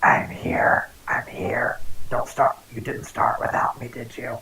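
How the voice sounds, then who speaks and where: Raspy and low-to-middle in pitch, this is a put-on character voice. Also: fairly slow pace. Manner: flustered.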